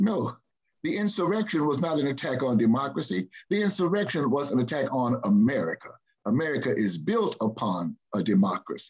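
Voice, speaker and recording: Very wide pitch swings over a quiet background. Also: man. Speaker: panelist. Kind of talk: discussion commentary. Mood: emphatic political opinion. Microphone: video call.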